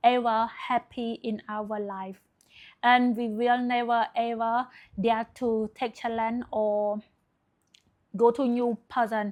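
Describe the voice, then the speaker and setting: In a quiet background, a woman with a non-native accent speaks at a very slow pace. Her fairly high voice stays monotone, with flat intonation. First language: not English. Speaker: self-help video creator. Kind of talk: motivational talk to camera. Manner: hesitant, frequent fillers.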